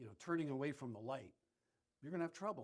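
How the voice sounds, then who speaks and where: A man speaks with an American accent. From US, Philadelphia. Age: 60s. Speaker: powerlifter. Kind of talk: casual interview. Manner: halting, repetitive.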